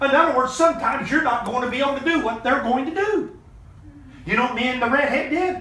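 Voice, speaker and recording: A raised, projected voice in an animated tone races along at a very fast pace, with audible room echo. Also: man. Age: 50s. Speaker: motivational business mentor. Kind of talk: motivational talk on a group call. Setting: video call.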